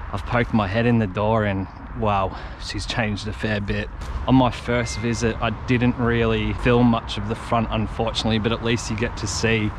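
A man at a moderate pace, dry sound with no echo, noticeable background noise. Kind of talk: casual vlog commentary. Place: garden. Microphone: camera far.

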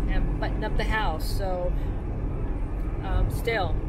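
The speech comes at a very slow pace over loud background noise. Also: woman. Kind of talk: casual vlog chat. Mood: slightly worried, hesitant. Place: car. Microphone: camera far.

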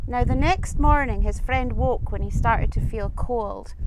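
The speaker has a Scottish accent and a moderate pace. The sound is dry with no echo, yet noticeable background noise comes through. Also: woman. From Scottish Highlands. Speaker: storyteller. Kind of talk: folk tale telling. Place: open country. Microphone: lapel.

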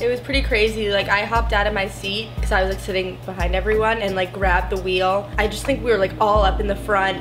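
Clear music plays in the background as a woman speaks at a very fast pace. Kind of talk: casual vlog chat. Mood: serious, emotional recollection. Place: home room. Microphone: camera far.

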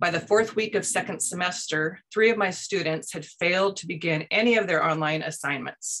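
In a quiet setting, a woman with an American accent speaks at a moderate pace in a fairly low, bright, sharp voice with ordinary pitch variation. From US Pacific Northwest. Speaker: education nonprofit public relations director. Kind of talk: presentation. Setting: video call. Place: home room. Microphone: webcam.

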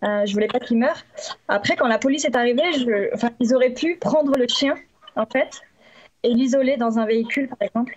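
A woman with a high voice talks at a fairly quick pace with ordinary pitch variation. Long, frequent pauses break up her speech against a quiet background. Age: 30s. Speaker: dog bite victim, witness; witness. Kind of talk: testimony. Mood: upset, recounting a traumatic event. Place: home room. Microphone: video call.

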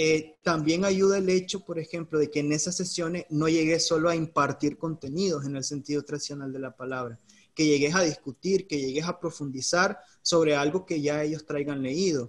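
A man speaks with a Nicaraguan accent at a moderate pace. His voice is fairly high, with fairly even intonation. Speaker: teacher. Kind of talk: expert interview. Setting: Facebook Live stream.

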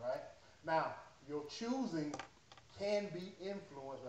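Recorded with audible room echo and light background noise, a man talks at a moderate pace. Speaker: pastor. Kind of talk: sermon. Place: church. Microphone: camera far.

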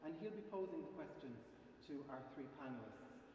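A man speaks with lively intonation. Light background noise and strong room echo surround his voice. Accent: Irish. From Ireland. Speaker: gallery curator; event host. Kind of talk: event introduction. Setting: cathedral with live audience. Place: church.

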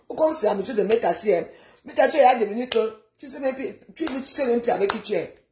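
A woman talks at a very fast pace in a high voice, her loudness swinging widely. Light background noise and audible room echo are present. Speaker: social media live streamer. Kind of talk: casual rant. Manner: animated. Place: home room. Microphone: phone near.

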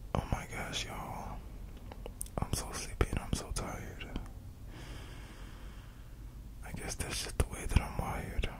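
A man whispering, with long, frequent pauses. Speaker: sleep content creator. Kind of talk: soft sleepy talk to viewers. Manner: drowsy, soft, slow voice. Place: home room. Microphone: studio mic.

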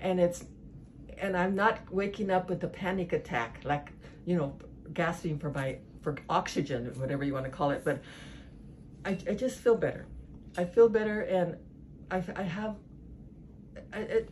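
A woman's somewhat breathy voice, with lively intonation, long, frequent pauses and light background noise. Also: moderate pace. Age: 60s. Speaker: patient. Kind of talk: interview answer. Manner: casual, conversational. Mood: warm, relieved, chatty. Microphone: phone near.

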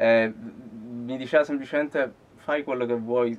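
The man's intonation stays fairly even throughout. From Sicily, Palermo; Sicily. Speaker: guitarist; interviewee. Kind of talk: interview. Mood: relaxed, thoughtful. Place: studio.

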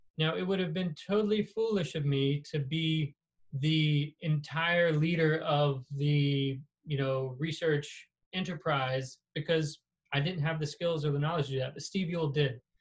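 Somewhat breathy speech at a fairly slow pace with an American accent, against a quiet background. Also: man, fairly high pitch for a man. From US South, South Carolina. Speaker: surgeon and professor; professor. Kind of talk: lecture. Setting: video call. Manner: casual, animated. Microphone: video call.

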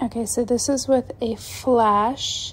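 Somewhat breathy and fairly high-pitched, a woman speaks with ordinary pitch variation. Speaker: beauty influencer. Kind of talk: makeup haul unboxing. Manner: enthusiastic, upbeat.

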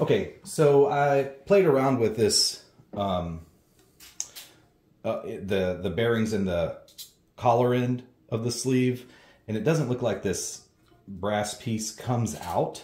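Through audible room echo, a man speaks very slowly in a dark, mellow, somewhat breathy tone, leaving long, frequent pauses. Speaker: home gym reviewer. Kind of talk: tutorial.

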